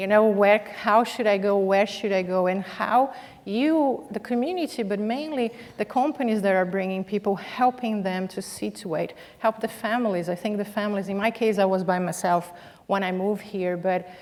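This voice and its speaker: Through noticeable background noise, a woman with a non-native accent speaks at a moderate pace with ordinary pitch variation. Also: medium pitch for a woman. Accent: foreign. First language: not English. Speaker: business executive, panelist. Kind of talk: panel discussion.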